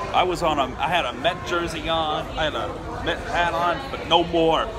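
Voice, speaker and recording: A man speaks with crowd noise in the background. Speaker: vlogger. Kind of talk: casual vlog chat. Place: train. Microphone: phone near.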